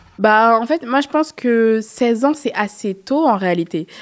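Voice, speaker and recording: A woman at a fairly slow pace with ordinary pitch variation, against a quiet background. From France, Paris suburbs (Seine-Saint-Denis); Paris. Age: 20s. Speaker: association co-founder and journalist; journalist. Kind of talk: interview. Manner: hesitant, many fillers. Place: studio. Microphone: studio mic.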